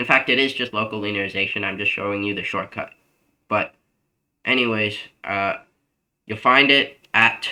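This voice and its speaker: Long, frequent pauses from a man with a fairly low voice and a bright, sharp tone, in a very clean recording with a silent background. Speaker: math tutor. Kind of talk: tutoring session. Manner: fast; casual with fillers.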